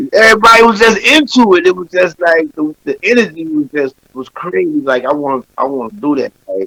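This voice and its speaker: A raised, projected voice moves at a fairly quick pace with very wide pitch swings and hardly any pauses, in a dry, close sound with no echo. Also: man, high pitch for a man. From Chicago South Side. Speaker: hip hop artist. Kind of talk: casual interview.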